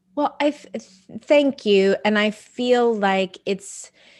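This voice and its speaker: A woman with an American accent speaks at a very slow pace on a very clean recording with a silent background. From Texas. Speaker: real estate team leader. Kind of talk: faith interview. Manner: animated.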